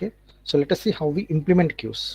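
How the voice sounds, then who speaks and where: The voice has a dark, mellow tone and is somewhat breathy. The sound is dry and close, with no echo. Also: man. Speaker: lecturer. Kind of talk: lecture. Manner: fast.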